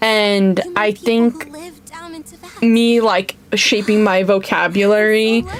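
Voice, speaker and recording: With music in the background, a woman speaks at a fairly high pitch. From non-English-speaking country. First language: not English. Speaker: vtuber streamer. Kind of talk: casual chat. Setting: livestream. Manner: halting, many fillers.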